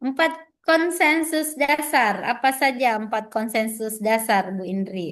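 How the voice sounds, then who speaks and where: A woman speaks at a very slow pace, her fairly high pitch carried by lively intonation. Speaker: trainer for new civil servants. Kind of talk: online training session, quizzing participants. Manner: lively, interactive.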